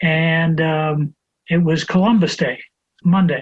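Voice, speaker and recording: His pitch sits high for a man. The intonation is fairly even. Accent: American. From US, Buffalo, New York. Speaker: chiropractor, former college president. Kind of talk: anecdotal storytelling in interview.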